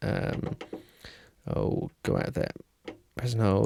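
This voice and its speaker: A man speaks with music playing in the background. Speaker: keyboard player reviewing gear. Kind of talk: demo walkthrough tutorial. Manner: fast, with many fillers and self-corrections.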